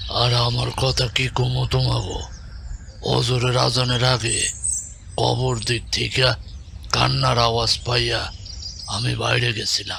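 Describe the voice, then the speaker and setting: In a cartoonish character voice, a man speaks at a very even loudness against clear background noise. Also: fairly slow pace. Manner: calm, pious.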